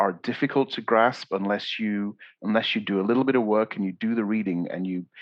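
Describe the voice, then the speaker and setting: A man with an English accent talks at a fairly low pitch. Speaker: podcast host. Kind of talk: interview conversation. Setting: podcast.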